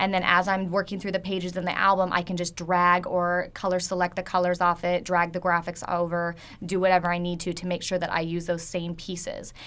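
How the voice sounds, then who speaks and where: A woman talks at a fairly quick pace with hardly any pauses. Her intonation is monotone and flat, and her pitch fairly low. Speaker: photographer. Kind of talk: webinar tutorial. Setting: online webinar. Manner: fast.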